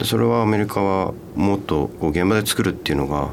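Over noticeable background noise, a man with a very deep, low pitch speaks with lively intonation. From Hokkaido, Japan (Date city). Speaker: film director. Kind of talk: radio interview.

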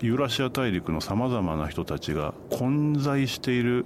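A man with lively intonation. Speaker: Asia travel writer. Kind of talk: radio interview.

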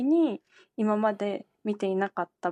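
A woman with a plain, everyday voice and fairly high pitch speaks with ordinary pitch variation, the sound dry and close with no echo in a quiet background. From Japan, Kanagawa. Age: 20s. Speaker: environmental company CEO. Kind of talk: radio interview. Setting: remote call.

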